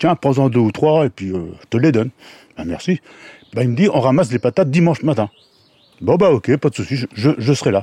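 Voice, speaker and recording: A man's dark, mellow voice at a fairly quick pace, with very wide pitch swings, long and frequent pauses, and a dry, close sound with no echo. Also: medium pitch for a man. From Brittany, France (Dinan area). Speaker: unemployed volunteer, former pig farm worker. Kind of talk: field interview.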